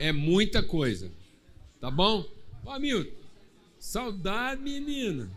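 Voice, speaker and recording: In a high pitch with very wide pitch swings, a man speaks at a very slow pace with long, frequent pauses and audible room echo. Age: 60s. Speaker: pastor. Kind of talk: church service hosting, casual joking; prayer.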